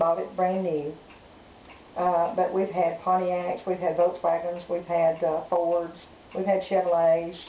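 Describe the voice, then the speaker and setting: A woman with a Southern US accent talks at a moderate pace in a flat monotone, her pitch fairly low. Audible room echo and noticeable background noise fill the recording. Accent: Southern US (Georgia). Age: 60s. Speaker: grandmother interviewed by grandchild. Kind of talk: family oral history interview.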